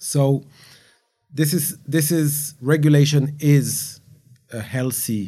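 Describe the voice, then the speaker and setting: Speaking very slowly in a French accent, a man has a dark, mellow tone. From France. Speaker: gaming industry veteran. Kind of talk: panel discussion.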